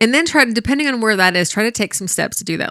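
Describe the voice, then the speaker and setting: A loud woman with a bright, sharp tone and lively intonation comes through a very clean recording with a silent background, the sound dry and close with no echo. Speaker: dating and relationship coach, podcast co-host. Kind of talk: casual podcast conversation. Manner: loud talker; gets loud when passionate.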